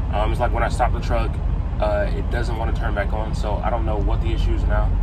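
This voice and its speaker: Loud background noise sits under a man's voice. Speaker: truck driver vlogger. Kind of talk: casual vlog chat. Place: car. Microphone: phone near.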